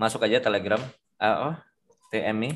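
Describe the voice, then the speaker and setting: Pitch varies an ordinary amount, and the pace is moderate. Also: man. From Indonesia. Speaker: forex trader, community leader; trader hosting a group discussion. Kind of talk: online discussion with investors and broker. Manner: casual, lots of fillers. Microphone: video call.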